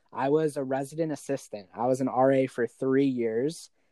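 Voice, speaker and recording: Here is an unremarkable speaking voice. It goes at a moderate pace. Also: man. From Arizona. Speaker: charity worker. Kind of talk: casual chat.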